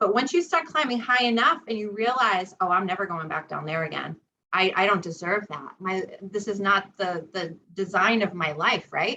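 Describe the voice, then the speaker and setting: In an American accent, a woman talks at a moderate pace and medium pitch with lively intonation. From US Northeast, Rhode Island. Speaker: psychic medium and spiritual teacher. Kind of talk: interview on spiritual self-help.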